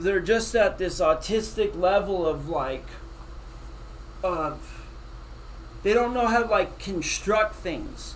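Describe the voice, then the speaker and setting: Pausing long and often, a man speaks at a very slow pace, with audible room echo around him. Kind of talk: casual chat reacting to a replayed interview. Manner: halting, stumbling over words.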